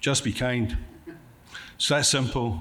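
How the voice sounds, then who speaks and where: Audible room echo surrounds a man of medium pitch speaking with a Scottish accent. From Scotland. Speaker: conference speaker, contract coach. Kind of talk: conference presentation. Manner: fast.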